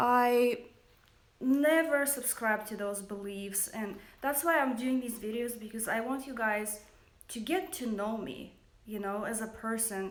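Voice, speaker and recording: With audible room echo, a woman talks fairly slowly in a fairly high pitch and ordinary pitch variation. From Russia. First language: Russian. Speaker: makeup company founder. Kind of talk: livestream monologue. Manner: hesitant, many fillers.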